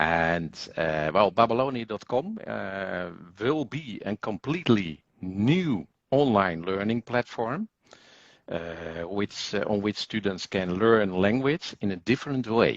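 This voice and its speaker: A man with a Dutch accent and a fairly low pitch speaks very slowly with lively intonation, his sound dry and close with no echo against a quiet background. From Netherlands. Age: 50s. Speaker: language school executive. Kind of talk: interview. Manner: hesitant, many fillers.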